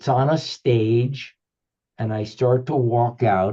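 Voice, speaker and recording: A man's very slow, somewhat breathy voice, medium in pitch, with a dark, mellow tone and ordinary pitch variation. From Cuba, raised partly in the US. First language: Spanish or Yiddish (English third language). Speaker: author and spiritual teacher. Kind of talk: interview, personal storytelling. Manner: fluent, flowing.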